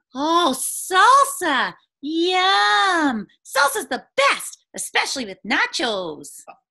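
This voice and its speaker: A put-on character voice, high in pitch, goes along at a very slow pace. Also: quiet background. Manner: excited, playful.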